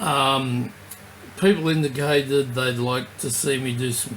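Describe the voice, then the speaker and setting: Noticeable background noise surrounds a man speaking. His pitch is medium, with ordinary variation. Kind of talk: casual talk to camera. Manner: slight slurring.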